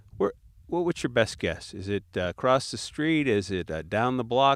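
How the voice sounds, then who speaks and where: A man speaks at a moderate pace in a medium pitch. His pitch swings very widely. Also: dry, close sound with no echo. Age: 60s. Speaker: retired business executive. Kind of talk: casual chat. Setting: outdoors.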